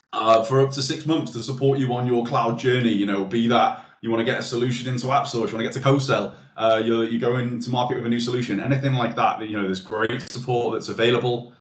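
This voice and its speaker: Audible room echo surrounds a man who speaks at a very fast pace with fairly even intonation. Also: hardly any pauses. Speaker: webinar presenter. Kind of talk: webinar presentation. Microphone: video call.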